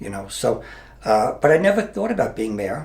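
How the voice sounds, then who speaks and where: A somewhat breathy man, fairly quick, with very wide pitch swings. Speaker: mayor and retired police officer. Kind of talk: interview. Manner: halting.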